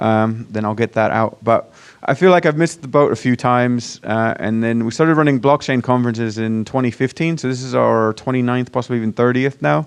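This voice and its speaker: At a fairly quick pace with hardly any pauses, a man with an American accent talks at medium pitch with ordinary pitch variation. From Virginia, US. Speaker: startup founder and conference organizer. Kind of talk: conference presentation. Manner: casual, hesitant with fillers.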